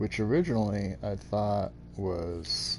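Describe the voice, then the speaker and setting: A man's voice is heard with noticeable noise behind it. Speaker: gaming streamer. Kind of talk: live gameplay stream chat. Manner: halting.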